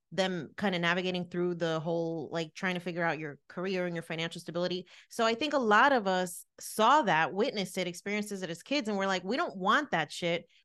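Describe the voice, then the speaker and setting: A woman talks at a fairly quick pace with hardly any pauses, her pitch medium, against a quiet background. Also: lively intonation. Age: 30s. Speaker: relationship podcast co-host. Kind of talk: casual chat.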